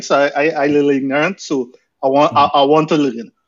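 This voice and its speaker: A man talks at a very fast pace. He has a Trinidadian accent. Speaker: podcast co-host. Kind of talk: casual chat and panel discussion.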